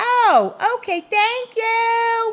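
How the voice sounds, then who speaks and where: In a put-on character voice, a female-sounding speaker squeaks at an extremely high pitch. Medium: read story. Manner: cheerful, inquisitive.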